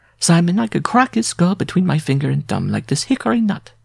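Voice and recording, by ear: A man puts on a character voice, pitched high with big swings and a fairly quick pace. There is vocal fry and a slightly husky edge.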